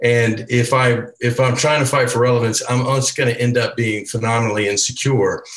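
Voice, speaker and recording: A man at a fairly quick pace, with very even loudness and monotone, flat intonation. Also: medium pitch for a man. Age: 60s. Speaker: church elder panelist. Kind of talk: casual panel discussion.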